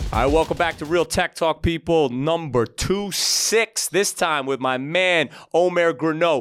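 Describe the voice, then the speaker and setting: Over music in the background, a man speaks with a fairly high pitch and an animated tone. His pace is fairly slow, with ordinary pitch variation and hardly any pauses. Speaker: podcast host and investor. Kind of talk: casual interview.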